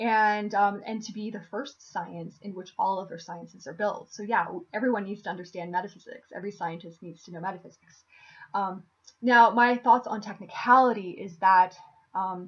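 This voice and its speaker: Speaking at a moderate pace in a normal speaking voice, a woman uses medium pitch and ordinary pitch variation, with big swings in loudness. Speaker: philosophy video creator. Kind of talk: video monologue on philosophy. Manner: many filler words and restarts.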